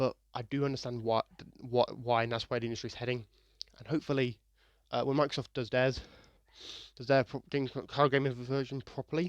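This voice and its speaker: Against a quiet background, a man at a medium pitch talks at a fairly quick pace in a monotone, flat intonation, with long, frequent pauses and big swings in loudness. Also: dry, close sound with no echo. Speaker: gaming commentator. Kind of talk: casual, conversational. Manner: stutters, repeats words and restarts phrases.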